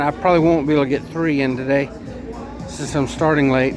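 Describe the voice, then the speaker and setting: Music in the background and audible room echo surround a man speaking with monotone, flat intonation. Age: 60s. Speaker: food vlogger. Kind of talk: casual vlog monologue. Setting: restaurant. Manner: rambling, halting with fillers.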